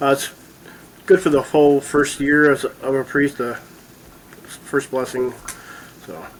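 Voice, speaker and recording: With an American accent, a man speaks in a fairly high voice and fairly even intonation. Long, frequent pauses break up his speech over noticeable background noise. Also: moderate pace, big swings in loudness. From Michigan (Bay City). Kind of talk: casual interview. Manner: brief answers.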